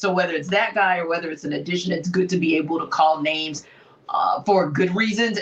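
A normal speaking voice, a woman at medium pitch and a moderate pace. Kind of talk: sports talk show chat.

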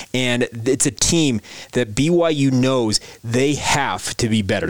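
A man speaks at medium pitch with ordinary pitch variation against noticeable background noise. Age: 30s. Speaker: sports podcast host. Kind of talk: daily sports podcast monologue.

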